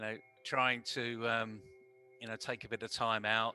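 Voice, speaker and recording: Music plays in the background. A man talks at a medium pitch. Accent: British. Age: 60s. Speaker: communication trainer. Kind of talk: interview.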